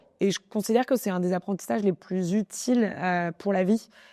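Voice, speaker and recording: The voice moves at a moderate pace with ordinary pitch variation and a dark, mellow tone, recorded dry and close with no echo. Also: woman, very clean recording, silent background. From Paris, France. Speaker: entrepreneur. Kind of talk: interview. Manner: animated; many fillers and restarts.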